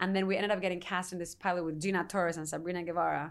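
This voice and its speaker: A fairly low-pitched woman with a Spanish accent, very fast, in a monotone, flat intonation. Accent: Spanish (European) accent in English. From Spain, Madrid. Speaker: actress. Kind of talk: casual interview.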